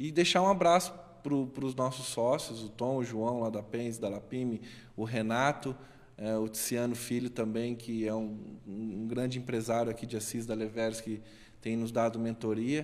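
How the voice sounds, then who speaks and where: Here is an unremarkable speaking voice from a man at a medium pitch. He moves at a moderate pace with ordinary pitch variation. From Brazil, interior of São Paulo state. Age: 30s. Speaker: startup founder and digital marketer. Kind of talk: interview. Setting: studio.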